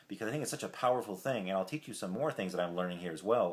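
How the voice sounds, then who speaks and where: A man speaks with a very deep, low pitch. His intonation is lively. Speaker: self-help vlogger. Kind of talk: casual vlog talk. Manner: fast; hesitant, many fillers.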